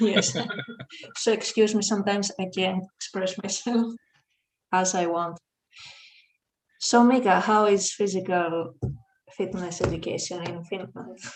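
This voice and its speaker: A woman with a Greek accent speaks at a medium pitch and a fairly slow pace. Her intonation is fairly even, broken by long, frequent pauses. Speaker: teacher. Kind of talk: online panel discussion.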